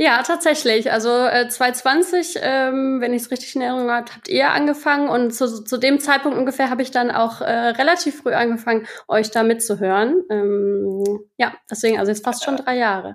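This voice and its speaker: A woman's high-pitched voice at a moderate pace, ordinary pitch variation, hardly any pauses. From western Germany, Rhineland (Erkelenz). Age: 30s. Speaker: podcast listener, marketing worker in food industry. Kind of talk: casual interview. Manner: halting, many fillers.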